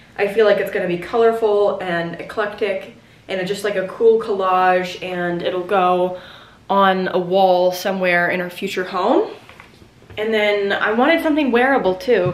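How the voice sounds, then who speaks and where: A woman speaks with an American accent at medium pitch and a moderate pace. Her pitch varies in an ordinary way, and there is audible room echo. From Virginia, US (Gloucester); Virginia. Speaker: lifestyle vlogger and podcaster; lifestyle vlogger, podcaster. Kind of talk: casual chatty vlog to camera. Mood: cheerful, enthusiastic. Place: home room. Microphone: phone near.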